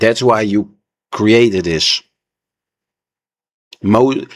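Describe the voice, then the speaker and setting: A man with a non-native accent, very slow pace, medium pitch and ordinary pitch variation, in a dry, close sound with no echo. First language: not English. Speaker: reaction video creator. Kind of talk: reaction commentary. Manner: animated.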